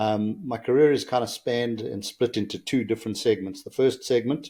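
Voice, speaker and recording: With a South African accent, a man speaks in a dark, mellow tone at a moderate pace. The recording is very clean, with a silent background. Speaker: engineer and business executive. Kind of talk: podcast interview.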